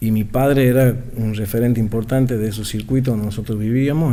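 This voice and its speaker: In a room with audible echo, a man with a Tucumán accent talks at a very fast pace, his medium-pitched voice dark and mellow in tone, with fairly even intonation. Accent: Tucumán Argentine Spanish. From Argentina, Tucumán. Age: 40s. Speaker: political activist. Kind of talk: radio interview.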